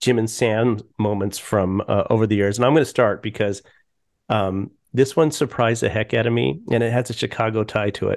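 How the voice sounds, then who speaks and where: Against a quiet background, a man with an American accent and a medium pitch speaks in a plain, everyday voice. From Colorado. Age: 50s. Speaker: podcast host and TV producer. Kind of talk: casual chat.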